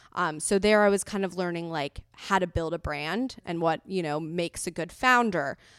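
Speaking in a Californian accent at a moderate pace with hardly any pauses, a woman keeps a fairly low pitch, her sound dry and close with no echo. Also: ordinary pitch variation. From Los Angeles. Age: 20s. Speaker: entrepreneur. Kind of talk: casual interview. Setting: remote recording.

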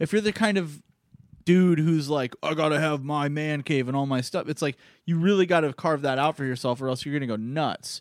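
In an unremarkable speaking voice, a man with fairly high pitch and ordinary pitch variation talks at a fairly quick pace, the sound dry and close with no echo. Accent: American. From Arizona. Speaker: podcast co-host. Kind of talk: casual chat.

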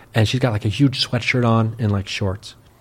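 A man with an American accent, medium pitch and fairly even intonation, at a very fast pace. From US Midwest, Ohio. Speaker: podcaster and paranormal investigator. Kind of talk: casual chat.

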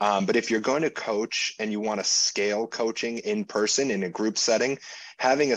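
In a plain, everyday voice, a man speaks fairly quickly at a fairly low pitch with fairly even intonation against a quiet background. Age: 30s. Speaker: gym owner and strength coach. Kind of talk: interview.

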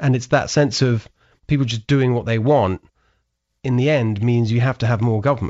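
This man speaks with a southern English accent. His intonation stays fairly even. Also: medium pitch for a man, moderate pace. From southern England (Brighton). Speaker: podcast host and author. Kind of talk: casual interview chat.

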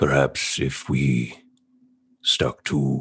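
This man speaks with a very deep, low pitch. The voice is a put-on character act. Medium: actual play. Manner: slow, cryptic, thoughtful hums.

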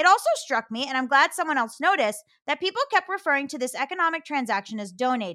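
A woman talks at a very fast pace with hardly any pauses, her high pitch swinging very widely in a bright, sharp, animated, raised and projected voice, recorded dry and close with no echo. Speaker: podcast co-host. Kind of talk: casual chat.

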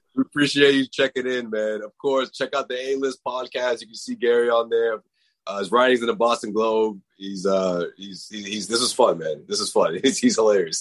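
Recorded with a dry, close sound and no echo, a man in an unremarkable speaking voice and a medium pitch talks at a moderate pace with hardly any pauses, ordinary pitch variation and big swings in loudness. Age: 50s. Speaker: sports podcast host. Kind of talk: casual chat.

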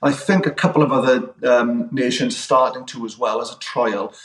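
A man with a Welsh accent. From Wales. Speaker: strength and conditioning coach. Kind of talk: casual chat.

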